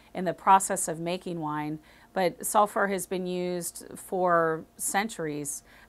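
A woman uses an ordinary speaking voice at a fairly low pitch. Her intonation is fairly even. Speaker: wine educator. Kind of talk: explainer to camera. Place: shop. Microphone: lapel.

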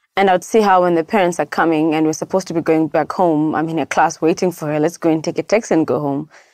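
Very fast speech in a South African accent, fairly even intonation, dry, close sound with no echo, very clean recording with a silent background. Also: woman. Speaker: education nonprofit founder. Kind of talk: interview.

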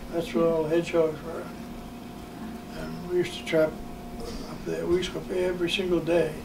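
A man with an American accent and a high pitch talks at a very fast pace in a monotone, flat intonation, with long, frequent pauses, big swings in loudness and noticeable background noise. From US Northeast, New Hampshire. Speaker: grandparent telling life stories; interviewee. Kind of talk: casual family interview. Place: home room.

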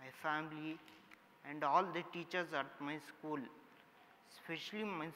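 With light background noise behind him, a man speaks at a fairly slow pace in a bright, sharp tone with fairly even intonation. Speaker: summit host, speaker. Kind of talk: inspirational talk. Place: stage.

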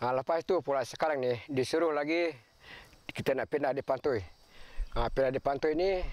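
At a moderate pace, a man with a fairly high pitch speaks in a dry recording with no echo. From Malaysia. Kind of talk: documentary interview testimony. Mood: aggrieved, complaining. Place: open country. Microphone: camera far.

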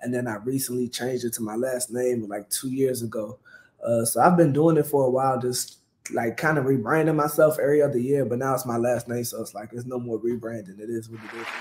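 In an American accent, the speaker talks at a very fast pace with fairly even intonation and big swings in loudness. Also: man, medium pitch for a man. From Maryland, US. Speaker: comedian and clothing brand owner; comedian. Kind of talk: casual interview. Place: kitchen.

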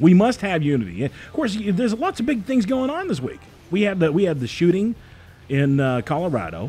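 Speaking at a fairly quick pace, a man with a high pitch and a dark, mellow tone makes very wide pitch swings. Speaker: radio show host. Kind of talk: casual chat. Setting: studio. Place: studio. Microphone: studio mic.

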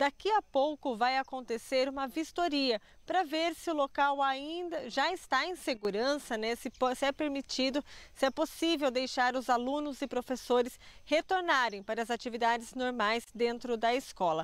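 A woman speaks at a moderate pace in a high voice, with a dry sound and no echo. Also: ordinary pitch variation. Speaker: TV reporter. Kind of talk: live news report. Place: open country. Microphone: handheld.

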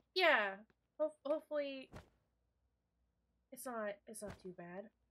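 The tone is bright and sharp. Pitch swings very widely. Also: woman, high pitch for a woman, fairly slow pace. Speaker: streamer; game streamer. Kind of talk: live gameplay commentary. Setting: live stream. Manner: loud; animated.

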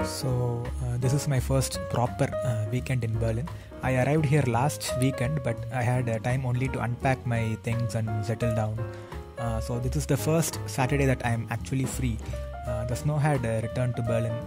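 A man keeps a moderate pace while loud noise fills the background. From India. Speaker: vlogger. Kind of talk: vlog narration. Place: forest.

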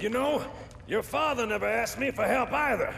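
A man's put-on character voice, extremely high and fairly bright with vocal fry, ordinary pitch variation and a moderate pace, over faint background noise

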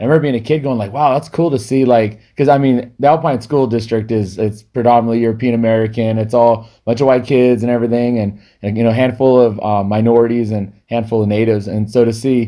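The voice has a dark, mellow tone and fairly even intonation, delivered at a very fast pace. There are hardly any pauses, and the background is quiet. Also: man. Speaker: podcast host. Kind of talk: interview conversation, storytelling. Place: studio. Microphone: studio mic.

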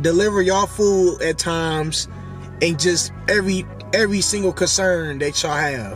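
At a moderate pace, a man with a high voice speaks with ordinary pitch variation. Faint music plays in the background, and the sound is dry with no echo. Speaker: delivery driver vlogger. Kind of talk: casual vlog chat. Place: car. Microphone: phone near.

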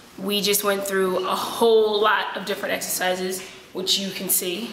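Against light background noise and audible room echo, a woman speaks at a moderate pace in a flat monotone. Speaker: vlog host. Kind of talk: casual vlog chat. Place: gym. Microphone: camera far.

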